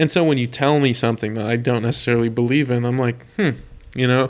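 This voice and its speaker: A man talks at a medium pitch. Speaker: podcast host. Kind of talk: casual chat. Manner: loud.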